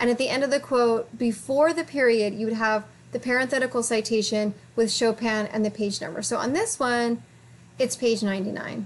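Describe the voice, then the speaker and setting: Noticeable background noise sits under speech that runs at a fairly quick pace with ordinary pitch variation. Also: woman, fairly high pitch for a woman. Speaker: college writing instructor. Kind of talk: lecture. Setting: recorded video for online course. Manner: fast; mumbling.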